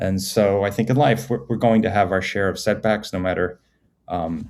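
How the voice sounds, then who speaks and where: With an American accent, a man speaks at a moderate pace in a fairly low pitch with ordinary variation, captured in a very clean recording against a silent background. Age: 60s. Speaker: performance psychologist. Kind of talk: podcast interview. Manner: halting.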